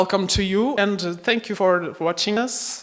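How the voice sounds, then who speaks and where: This woman speaks with a Portuguese accent. Her pitch is medium, with ordinary variation. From Portugal. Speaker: project coordinator. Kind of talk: conference opening speech. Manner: halting.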